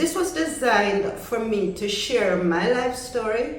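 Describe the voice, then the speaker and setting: Very slow speech from a woman amid noticeable background noise. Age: 60s. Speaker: content creator. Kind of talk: casual talk to camera.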